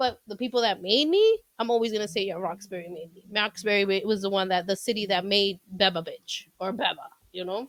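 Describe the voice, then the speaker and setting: Speaking at medium pitch with hardly any pauses, a woman's voice shows big swings in loudness. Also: ordinary pitch variation, fairly quick pace. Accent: Boston. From Boston area, Massachusetts (Chelsea). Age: 40s. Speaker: comedian. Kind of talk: casual chat. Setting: garage podcast studio.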